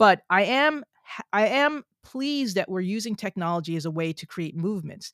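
A woman speaks at a moderate pace with hardly any pauses, her pitch swinging very widely. The sound is dry and close with no echo, on a very clean recording with a silent background. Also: medium pitch for a woman, big swings in loudness. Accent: American. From New Jersey. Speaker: scientist and author. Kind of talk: interview.

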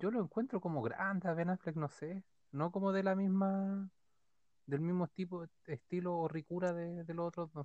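In a dry, close sound with no echo, a man with a Chilean accent talks at a moderate pace in a high pitch with fairly even intonation. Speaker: podcast co-host. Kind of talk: casual chat.

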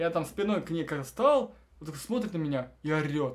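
At a moderate pace, a man talks. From Russia, Belgorod region (Shebekino). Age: 20s. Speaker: programmer. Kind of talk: casual chat. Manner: animated.

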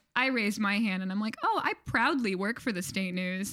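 The speaker has an American accent and a plain, everyday voice. The pace is moderate. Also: woman. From Michigan, US. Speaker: campus ministry worker. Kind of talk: casual interview chat.

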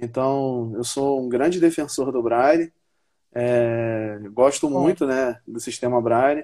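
This man has a medium pitch and a dark, mellow tone. He speaks at a very slow pace with fairly even intonation. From Brazil, Paraíba interior. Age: 20s. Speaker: Paralympic judo athlete. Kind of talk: interview on a live stream.

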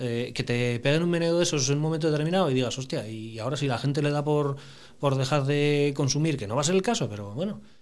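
Amid audible room echo, a man talks at a very fast pace, his fairly high pitch showing ordinary variation. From Asturias, Spain (Piloña). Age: 40s. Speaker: family business manager. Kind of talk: casual interview.

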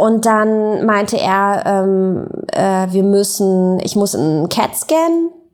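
A woman talks in a fairly high pitch. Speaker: author and journalist. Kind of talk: interview, personal storytelling. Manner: hesitant, many fillers.

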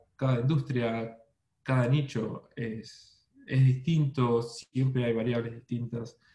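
A man with an Argentine accent, medium pitch, a dark, mellow, somewhat breathy tone and fairly even intonation. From Argentina, Buenos Aires. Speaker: SEO specialist. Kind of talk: interview. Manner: halting with repetitions.

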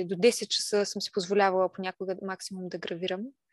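The speech moves at a fairly quick pace. The sound is dry and close with no echo against a quiet background. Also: woman. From Bulgaria, Silistra region. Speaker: stay-at-home mother and craft maker. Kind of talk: casual interview.

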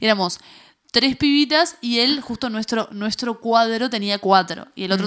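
A woman speaks in a fairly high pitch with ordinary pitch variation. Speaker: podcast co-host. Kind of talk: casual chat. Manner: fast.

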